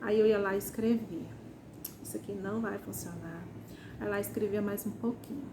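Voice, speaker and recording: A woman with a Ceará accent at a moderate pace, with long, frequent pauses. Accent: Ceará, northeastern Brazilian. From Ceará, Brazil. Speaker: first-time novelist. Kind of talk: casual talk to camera.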